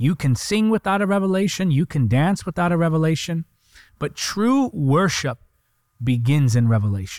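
The voice moves at a moderate pace with very wide pitch swings, in a dry, close sound with no echo. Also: man, very clean recording, silent background. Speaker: preacher. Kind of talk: fervent prayer. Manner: impassioned, intimate; earnest, persuasive.

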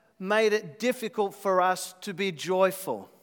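A man speaks with an Australian accent. His pitch is high. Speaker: visiting worship leader and preacher. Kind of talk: sermon. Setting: church.

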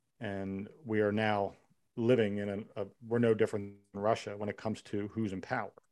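A man with an American accent speaks at a fairly quick pace in a fairly low pitch, his intonation monotone and flat. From Philadelphia area, US. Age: 50s. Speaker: law enforcement officer and army veteran. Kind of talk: casual chat.

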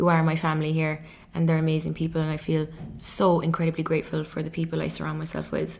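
Talking at a very fast pace, a woman with an Irish accent uses a very deep, low pitch and a monotone, flat intonation. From Ireland. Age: 20s. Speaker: podcast host and life coach. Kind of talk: solo podcast monologue. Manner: many filler ums.

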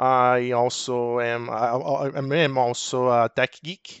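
A man talks with a Portuguese accent. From Brazil. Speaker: technical account manager. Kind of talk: casual chat.

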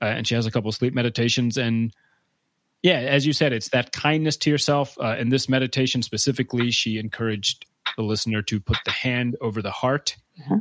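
A man speaks in a plain, everyday voice at medium pitch with fairly even intonation. He goes at a fairly quick pace in a very clean recording with a silent background. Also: dry, close sound with no echo. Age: 30s. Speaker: podcast host and comedian. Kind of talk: casual interview chat; solo monologue.

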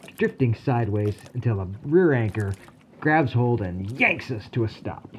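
Lively intonation over a plain read-aloud delivery

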